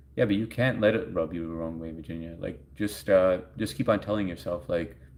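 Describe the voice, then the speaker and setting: With a New York accent, a man speaks at a moderate pace, his intonation lively. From US Northeast, Long Island, New York. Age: 40s. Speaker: live streamer. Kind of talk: casual chat. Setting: live stream.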